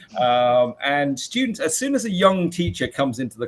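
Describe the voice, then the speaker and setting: Lively, fairly high-pitched male speech in a British accent. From UK. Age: 40s. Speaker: maths teacher. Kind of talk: interview. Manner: halting.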